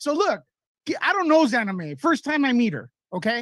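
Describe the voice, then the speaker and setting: In a dry, close sound with no echo, a man with extremely high pitch talks at a moderate pace in an animated tone full of very wide pitch swings. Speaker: caller. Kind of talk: call-in discussion.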